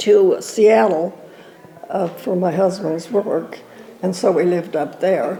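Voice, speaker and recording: A medium-pitched woman at a very slow pace with ordinary pitch variation, over noticeable background noise. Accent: American. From Southern California. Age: 90s. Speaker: elderly church member. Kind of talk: interview reminiscence. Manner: halting, many fillers.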